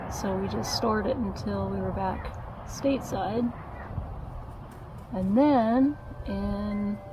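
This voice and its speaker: Soft-spoken and very slow, a woman leaves long, frequent pauses against noticeable background noise. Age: 40s. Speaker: YouTuber. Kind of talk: casual talk to camera, ASMR-style vlog. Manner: soft-spoken, relaxed, gentle.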